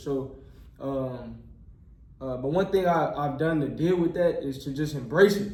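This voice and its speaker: With an American accent, the speaker has a dark, mellow, somewhat breathy tone and fairly even intonation, moving at a moderate pace amid audible room echo. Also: man. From Texas, near Houston. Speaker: medical student and YouTuber. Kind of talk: casual interview chat. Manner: many filler words.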